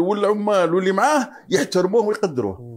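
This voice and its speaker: Against a quiet background, a man speaks with a high pitch. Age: 60s. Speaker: retired education administrator; interview guest. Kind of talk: interview. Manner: halting. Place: home room. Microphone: lapel.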